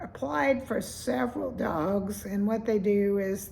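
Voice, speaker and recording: A woman's voice at a medium pitch carries audible room echo. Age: 70s. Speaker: vlogger. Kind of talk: casual vlog monologue.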